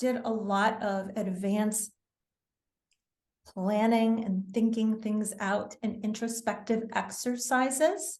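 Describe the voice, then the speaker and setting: A woman in an American accent speaks at a very slow pace, somewhat breathy. Her pitch is fairly high, with ordinary pitch variation. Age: 60s. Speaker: wellness author. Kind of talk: interview.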